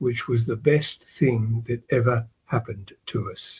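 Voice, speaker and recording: In an Australian accent, a man speaks at a medium pitch with a somewhat breathy voice. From Australia, Melbourne. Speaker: retired investor and author. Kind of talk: interview. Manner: casual, hesitant.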